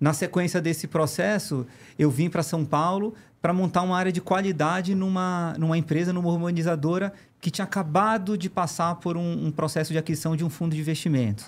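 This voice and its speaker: On a very clean recording with a silent background, a man talks at a fairly quick pace. His pitch is high and his intonation fairly even. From Pará, northern Brazil. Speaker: engineering firm executive. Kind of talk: podcast interview.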